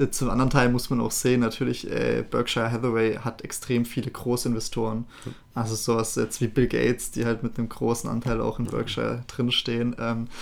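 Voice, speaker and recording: A man's medium-pitched voice moves fairly briskly, its intonation monotone and flat. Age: 20s. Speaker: finance officer of the podcast team. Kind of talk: casual chat.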